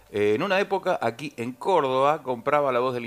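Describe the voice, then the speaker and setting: Lively intonation runs through this man's medium-pitched voice. Music plays in the background. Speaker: radio announcer. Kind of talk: radio announcing, casual banter.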